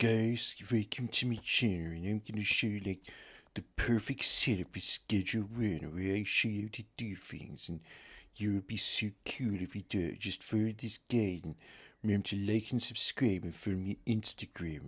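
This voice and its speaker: A man puts on a character voice at a fairly low pitch. He speaks at a moderate pace on a very clean recording with a silent background. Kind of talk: casual, chatty. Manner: over-enthusiastic, salesy.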